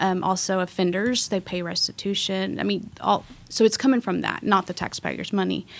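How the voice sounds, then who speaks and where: A woman speaks at a moderate pace in a medium-pitched voice with vocal fry and fairly even intonation. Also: hardly any pauses. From Waco, Texas. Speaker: police victim services coordinator. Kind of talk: interview.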